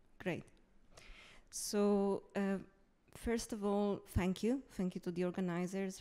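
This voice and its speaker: A fairly slow pace carries the speech along. Its tone is dark and mellow. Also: woman. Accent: Italian. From Italy. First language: Italian. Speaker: museum curator. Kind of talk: conference presentation. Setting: stage with audience.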